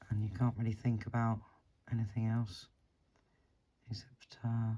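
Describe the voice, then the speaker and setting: The speech is mumbled. It moves at a moderate pace. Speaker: beading tutorial creator. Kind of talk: tutorial. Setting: living room at home. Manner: mumbling; halting, long pauses.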